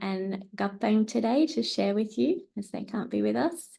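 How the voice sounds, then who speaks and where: A woman speaks with an Australian accent at a moderate pace. Her tone is dark and mellow. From New South Wales, Australia (Tamworth). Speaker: researcher and speech pathologist. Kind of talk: academic seminar presentation.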